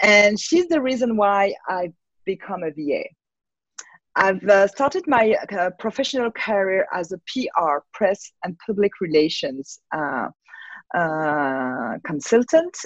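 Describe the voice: In a dry, close sound with no echo, a woman talks at a fairly slow pace. Her medium-pitched voice has lively intonation.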